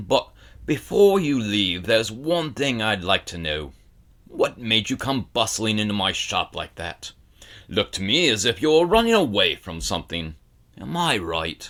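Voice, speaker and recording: A put-on character voice, gruff and rumbling, moves at a moderate pace. Its pitch swings very widely. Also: man, medium pitch for a man. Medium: read story. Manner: grumbling, blunt.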